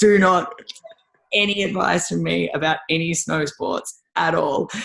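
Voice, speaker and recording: A woman with an Australian accent, animated in tone, at a fairly slow pace. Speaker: rowing and ski erg coach. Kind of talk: podcast interview.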